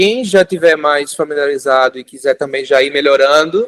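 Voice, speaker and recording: A man's voice, dry and close, with no echo. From Brazil, Recife (Pernambuco). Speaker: fisheries engineer teaching a course. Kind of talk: hands-on tutorial class.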